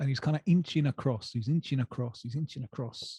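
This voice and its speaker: Speaking at a fairly quick pace, a man uses a dark, mellow, somewhat breathy voice at medium pitch. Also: dry, close sound with no echo. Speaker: football journalist. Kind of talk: casual chat, personal anecdote.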